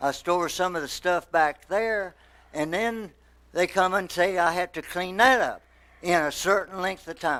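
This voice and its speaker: Raised and projected, a man's high, bright, sharp voice carries ordinary pitch variation. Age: 60s. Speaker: resident speaking at public comment. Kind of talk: public comment at council meeting. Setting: city council meeting. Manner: emotional, agitated.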